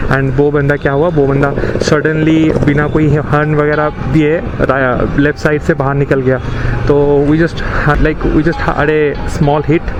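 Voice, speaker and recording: A man speaks in a fairly high pitch with monotone, flat intonation. His loudness stays very even despite noticeable background noise. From Odisha, India. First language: Odia (speaking Hindi). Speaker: motorcycle vlogger. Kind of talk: casual vlog commentary. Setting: riding a motorbike in city traffic.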